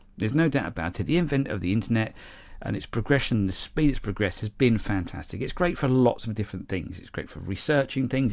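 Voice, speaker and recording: An English accent marks this man's medium-pitched voice, delivered at a fairly quick pace on a very clean recording with a silent background. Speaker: model railway YouTuber. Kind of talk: casual vlog monologue. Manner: halting, with fillers and repetitions.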